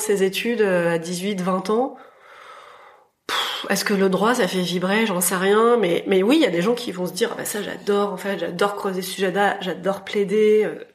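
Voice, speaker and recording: Over audible room echo and noticeable background noise, the speaker goes at a moderate pace with ordinary pitch variation. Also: woman, medium pitch for a woman. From rural France. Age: 40s. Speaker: fashion entrepreneur. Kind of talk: interview. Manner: hesitant, many fillers.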